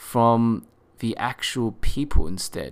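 A man speaks at a medium pitch with an Australian accent, on a very clean recording with a silent background. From Australia, Sydney. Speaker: podcast host, marketing manager. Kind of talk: solo podcast monologue. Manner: hesitant, many fillers.

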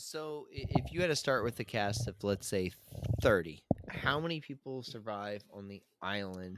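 A man with an American accent and an unremarkable speaking voice talks at a moderate pace with a fairly low pitch, lively intonation and big swings in loudness. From US Mid-Atlantic, Maryland. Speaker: podcast host. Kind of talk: casual chat.

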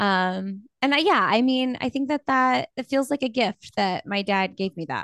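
With hardly any pauses, a woman with a Midwestern American accent talks at a moderate pace in a fairly high pitch and lively intonation, against a quiet background with a dry, close sound and no echo. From Bloomington, Indiana. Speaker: podcaster and podcast network owner. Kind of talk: casual interview chat.

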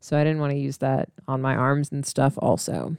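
This speaker has an American accent and a relaxed tone at a moderate pace. The sound is dry and close with no echo. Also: woman. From US Midwest (Missouri, Illinois). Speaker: podcast host. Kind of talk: casual solo chat. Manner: relaxed, chatty.

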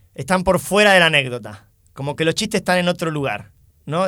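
A man's bright, sharp voice with lively intonation at a fairly quick pace, in a very clean recording with a silent background. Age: 20s. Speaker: stand-up comedian and teacher. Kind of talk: casual chat.

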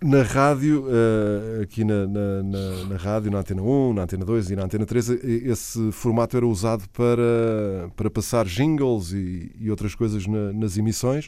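With music in the background, a man with a European Portuguese accent speaks at a fairly slow pace and a fairly low pitch. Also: ordinary pitch variation. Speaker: radio host. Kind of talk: radio interview. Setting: radio studio.

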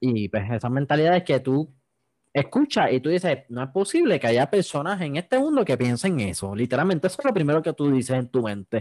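Speaking fairly quickly in an unremarkable speaking voice, a man uses lively intonation. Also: fairly high pitch for a man, dry, close sound with no echo. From Puerto Rico, Yauco. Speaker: podcast host. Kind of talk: casual chat.

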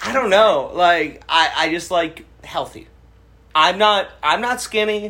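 Raising and projecting his voice, a man speaks at a very slow pace and a high pitch with ordinary pitch variation. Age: 30s. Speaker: podcast co-host. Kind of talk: casual chat.

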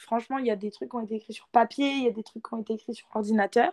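Talking at a very fast pace, a woman keeps her intonation fairly even. Her pitch is fairly high. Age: 20s. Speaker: author. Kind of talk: interview.

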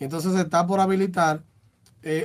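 The speaker is a man. He talks with a Dominican accent. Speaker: radio host. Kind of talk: casual radio talk show.

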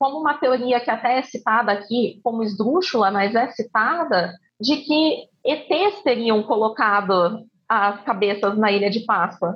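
A woman's high voice, full of lively intonation, moves at a fairly slow pace. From Campinas, interior of São Paulo, Brazil. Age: 20s. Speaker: lawyer. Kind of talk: casual chat.

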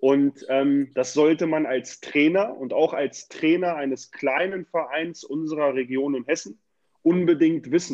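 A man with an unremarkable speaking voice talks at a fairly slow pace, his fairly high pitch showing ordinary variation. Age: 30s. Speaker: youth football coordinator. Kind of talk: casual interview.

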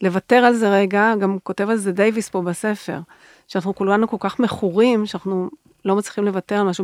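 The sound is dry and close, with no echo. The intonation stays monotone and flat. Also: woman. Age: 60s. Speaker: podcast host, nonprofit founder. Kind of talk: interview conversation.

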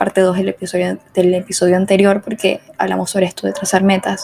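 A woman speaks at a fairly quick pace with medium pitch. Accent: Venezuelan. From Venezuela. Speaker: podcast host. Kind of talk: casual solo monologue.

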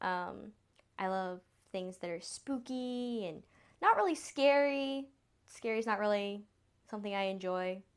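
Against a quiet background, a woman with a slight Southern US accent speaks at a fairly slow pace with long, frequent pauses. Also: medium pitch for a woman, ordinary pitch variation. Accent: slight Southern drawl. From US South. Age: 20s. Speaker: podcast host. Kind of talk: casual monologue.

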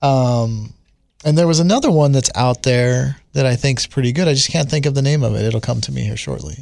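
Pitch rises and falls in an ordinary way as an ordinary speaking voice moves along at a fairly quick pace. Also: man, medium pitch for a man. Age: 40s. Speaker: host's husband. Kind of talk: casual chat.

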